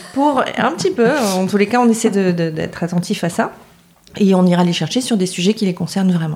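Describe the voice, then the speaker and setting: A woman talks at a fairly quick pace in an unremarkable speaking voice. Her medium pitch varies in an ordinary way, and her loudness is very even. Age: 40s. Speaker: public relations agency founder. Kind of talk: podcast interview.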